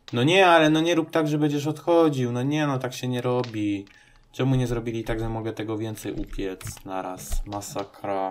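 With music in the background, a man of medium pitch speaks at a moderate pace with lively intonation. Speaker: gaming video creator. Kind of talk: let's play commentary. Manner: casual, hesitant with fillers.

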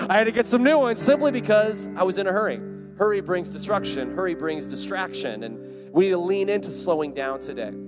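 Clear music plays in the background as a man talks at a fairly quick pace with hardly any pauses. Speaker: preacher. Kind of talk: sermon. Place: hall. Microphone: handheld.

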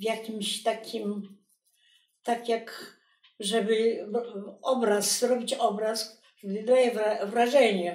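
Over a quiet background with audible room echo, a woman with fairly high pitch speaks very slowly in a monotone, flat way, leaving long, frequent pauses. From Poland. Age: 80s+. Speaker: textile artist. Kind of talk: documentary interview answer. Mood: reflective, quiet, reminiscing. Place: home room.

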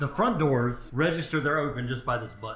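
Audible room echo around a man, plus light background noise. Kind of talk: casual vlog chat. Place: garage. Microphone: camera far.

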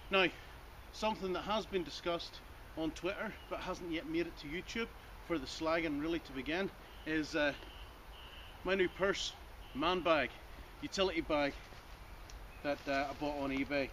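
A man speaks at a moderate pace with ordinary pitch variation and long, frequent pauses, with light background noise behind him. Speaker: outdoors vlogger. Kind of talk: casual vlog chat. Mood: jokey, self-mocking. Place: forest. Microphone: camera far.

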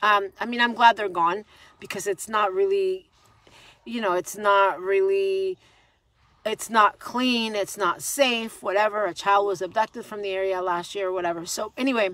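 Fairly even intonation at a moderate pace, with a dry sound, no echo and a quiet background. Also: woman. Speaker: vlogger. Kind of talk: casual vlog commentary. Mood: ranting, wry. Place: car. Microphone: phone near.

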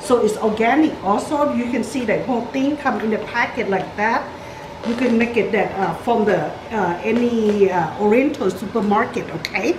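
Behind this woman there is noticeable background noise. She speaks at a moderate pace with ordinary pitch variation. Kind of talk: cooking tutorial. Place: kitchen. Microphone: camera far.

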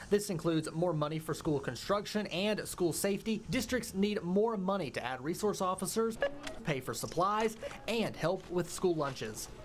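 A moderate-paced voice over noticeable background noise. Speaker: reporter. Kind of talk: news reading. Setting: studio. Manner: earnest, conversational reporter tone, clear.

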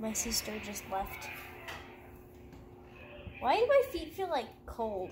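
The speech moves at a very slow pace with long, frequent pauses, and noticeable background noise sits behind it. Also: woman. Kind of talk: casual talk to camera. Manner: silly, rambling.

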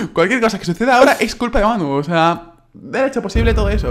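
Background music accompanies the recording. The man's delivery moves at a moderate speed. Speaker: gaming YouTuber. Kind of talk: casual gaming commentary.

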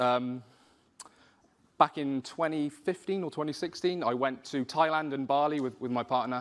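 The speaker has a Welsh accent. Pitch varies in an ordinary way. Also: man, fairly high pitch for a man, moderate pace. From South Wales. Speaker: spoken word poet and rapper. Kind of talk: personal story told to an audience. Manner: hesitant, conversational. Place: hall.

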